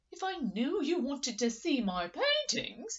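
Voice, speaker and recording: High-pitched put-on character voice from a woman, moderate in pace, its pitch swinging very widely. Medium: read story.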